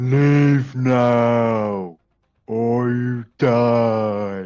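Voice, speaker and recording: A put-on character voice at low-to-middle pitch. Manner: menacing.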